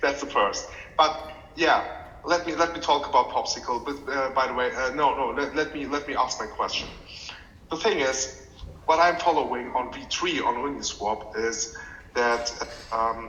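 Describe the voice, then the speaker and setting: A man keeps a moderate pace amid noticeable background noise, with room echo clearly audible. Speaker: community member, finance professional. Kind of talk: community call question. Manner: halting, many repeated words.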